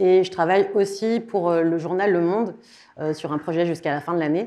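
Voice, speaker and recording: Against a quiet background, a woman with a fairly low pitch and a dark, mellow tone speaks with ordinary pitch variation. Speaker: content designer giving a conference talk. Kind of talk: conference talk. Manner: fast.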